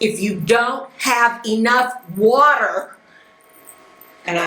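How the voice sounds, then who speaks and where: A woman's fairly high, animated voice with an American accent, noticeable background noise and audible room echo. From United States. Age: 70s. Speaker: life skills teacher. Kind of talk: lecture.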